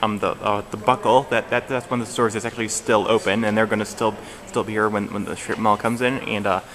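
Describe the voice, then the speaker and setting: A man with a fairly low pitch talks at a fairly quick pace in a monotone, flat intonation. Noticeable background noise sits behind him. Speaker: mall vlogger. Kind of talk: casual vlog narration. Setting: indoors in a mall.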